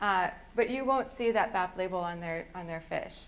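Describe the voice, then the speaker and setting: With an American accent, a woman speaks in a normal speaking voice at medium pitch. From US Midwest, southwest Wisconsin. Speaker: sustainable seafood program manager. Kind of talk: public lecture.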